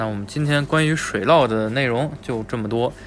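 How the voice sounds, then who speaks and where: Over noticeable background noise, a man talks at medium pitch and a moderate pace, with ordinary pitch variation. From Tianjin. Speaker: podcast host. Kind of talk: casual chat.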